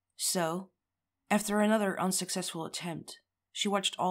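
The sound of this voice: An unforced reading voice is heard here, its intonation fairly even. Nothing intrudes from the background, which stays quiet.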